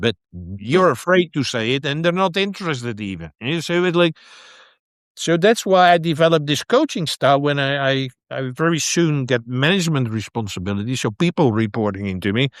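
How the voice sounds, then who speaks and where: A man at a fairly high pitch with very wide pitch swings and a fairly quick pace, dry and close with no echo, in a very clean recording with a silent background. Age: 60s. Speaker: brain retraining specialist and coach. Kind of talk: interview conversation. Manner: halting, repeats words.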